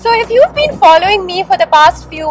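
A woman talks while clear music sounds behind her. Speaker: travel vlogger. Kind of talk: casual vlog chat. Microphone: phone near.

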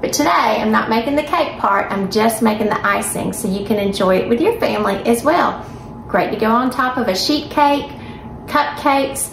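Amid light background noise and audible room echo, a woman speaks at a fairly quick pace. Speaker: home cooking host. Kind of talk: casual cooking intro. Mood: warm and cheerful. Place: kitchen. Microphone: phone near.

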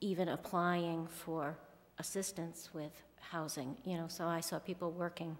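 A woman speaks in a monotone with flat intonation. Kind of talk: interview answer. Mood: calm, friendly. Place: hall. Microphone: podium.

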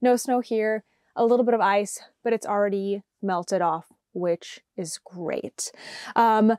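The speech moves at a fairly slow pace with fairly even intonation. The sound is dry with no echo, over a quiet background. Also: woman. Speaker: podcast host. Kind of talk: casual vlog chat. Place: home room. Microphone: lapel.

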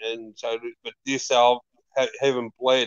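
A man with an Australian accent at a fairly slow pace, dry sound with no echo. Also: quiet background. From Melbourne, Australia. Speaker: metal podcast co-host. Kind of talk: casual chat. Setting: live stream video call. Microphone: video call.

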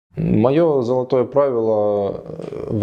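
A man is speaking. His tone is dark and mellow. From Ukraine, Kharkiv. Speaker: 3D visualizer and mentor. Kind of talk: interview testimonial.

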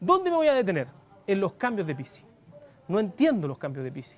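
This man's voice sits high, with very wide pitch swings. His tone is slightly mellow. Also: fairly quick pace.

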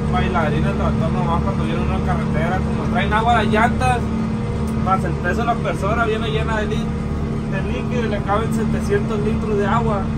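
Clear background music under a man talking at a moderate pace. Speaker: young farmer vlogger. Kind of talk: casual vlog chat. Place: farm machine. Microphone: phone near.

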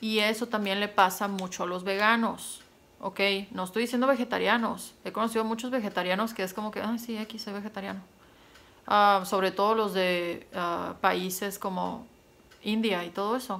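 A woman with a plain, everyday voice, medium pitch, fairly even intonation and a moderate pace. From Mexico, Sonora. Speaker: YouTuber. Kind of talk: casual vlog monologue. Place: home room. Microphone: phone near.

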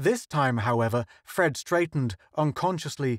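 Speech in an unforced reading voice

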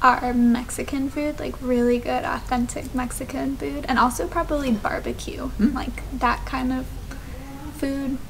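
Light background noise sits behind a woman speaking in a high pitch. She talks at a fairly slow pace. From USA. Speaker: travel vlogger. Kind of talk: casual chat. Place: home room. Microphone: camera far.

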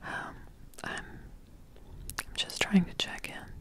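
A woman whispers at a very slow pace. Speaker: ASMR creator. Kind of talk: ASMR roleplay, vlog-style talk to camera. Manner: whispered, soft-spoken. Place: home room. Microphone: studio mic.

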